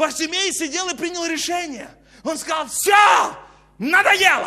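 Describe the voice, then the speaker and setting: Speaking at a fairly slow pace, a man uses a raised, projected voice and an animated tone. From Kazakhstan. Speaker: preacher. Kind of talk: sermon. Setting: church. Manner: preacherly, exhorting. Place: hall. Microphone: lapel.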